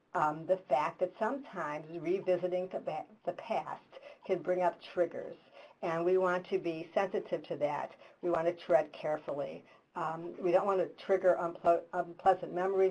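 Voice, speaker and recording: Speaking at a moderate pace, a woman has an ordinary speaking voice at a fairly low pitch. Her intonation is fairly even. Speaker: hospice professional presenter. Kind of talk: webinar presentation. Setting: virtual webinar call.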